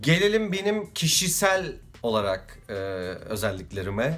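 A man's very slow speech with very wide pitch swings. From Turkey, İzmir; Turkey. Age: 30s. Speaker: vlogger and musician; vlogger. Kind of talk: casual vlog monologue. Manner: hesitant with frequent fillers. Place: home room. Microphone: phone near.

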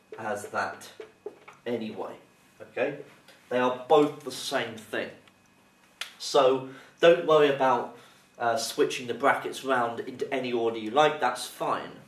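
A man at a fairly slow pace with fairly even intonation and long, frequent pauses, in audible room echo. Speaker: maths teacher. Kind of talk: tutorial. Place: classroom. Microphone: camera far.

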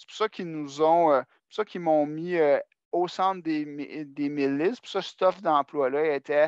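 Behind the voice, the background stays quiet. The words come at a fairly slow pace. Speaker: adult education support coordinator. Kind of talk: work meeting presentation. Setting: video call.

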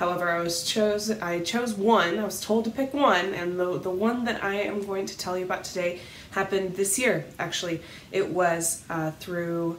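A woman at a moderate pace with fairly even intonation, light background noise and audible room echo. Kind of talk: personal reflection to camera. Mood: warm, cheerful. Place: home room. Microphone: webcam.

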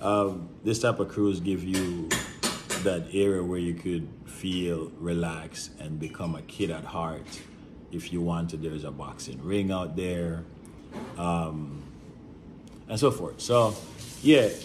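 A man's very deep, low voice with ordinary pitch variation, a fairly slow pace and long, frequent pauses, over noticeable background noise. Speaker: travel agent vlogger. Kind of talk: casual vlog chat. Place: home room. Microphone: phone near.

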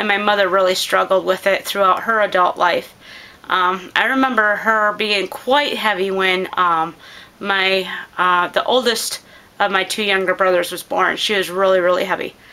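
A woman at a moderate pace, her pitch varying in an ordinary way. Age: 40s. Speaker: homestead gardening vlogger. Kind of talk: casual chat; tutorial. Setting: living room. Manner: hesitant, many filler words. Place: home room. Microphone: phone near.

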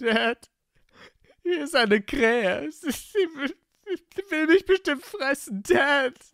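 In a put-on character voice, the speaker sounds high-pitched and shaky, moving at a fairly slow pace with long, frequent pauses. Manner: panicked, trembling, whimpering.

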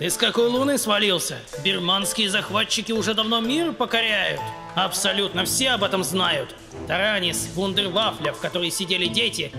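Over loud music in the background, a man puts on a character voice and talks at a fairly quick pace. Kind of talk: comic slangy banter. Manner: mocking, cocky, streetwise.

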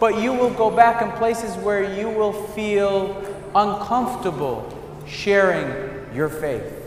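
A man with an American accent speaks at a very slow pace and a high pitch, with ordinary pitch variation. There is audible room echo and light background noise. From New England, US. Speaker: priest. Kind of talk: sermon. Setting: church. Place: church. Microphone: camera far.

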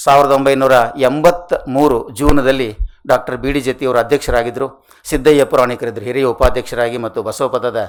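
A man uses an ordinary speaking voice with fairly even intonation. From northern Karnataka (Haveri district). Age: 60s. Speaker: retired college principal and scholar. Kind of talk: award acceptance speech. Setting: stage with audience. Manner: formal.

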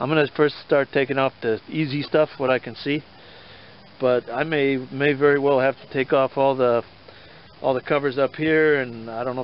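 A man's voice with fairly even intonation, dry and free of echo. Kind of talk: tutorial. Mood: mildly frustrated, casual. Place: garden. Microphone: phone near.

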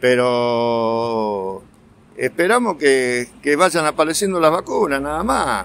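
The pace is very slow, and the intonation is lively. The sound is dry with no echo. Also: man, fairly high pitch for a man. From Argentina. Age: 70s. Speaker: pharmacist. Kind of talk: interview. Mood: concerned, frustrated. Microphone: phone near.

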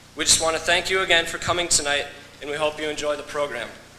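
A man speaks with fairly even intonation. The room echo is audible, and there is light background noise. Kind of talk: ceremonial welcome speech. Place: hall. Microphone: podium.

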